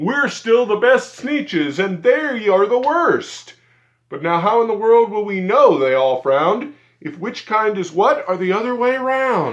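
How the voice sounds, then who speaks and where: Using a put-on character voice, a man speaks at a moderate pace. His pitch is high for a man. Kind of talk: bedtime story. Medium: read story. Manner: snooty, boastful.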